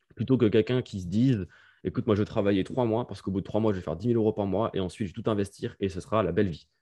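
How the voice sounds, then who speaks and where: A man talks at a very fast pace with a fairly low pitch and a dark, mellow tone. His intonation stays fairly even against a quiet background. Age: 20s. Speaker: online entrepreneur. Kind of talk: casual interview.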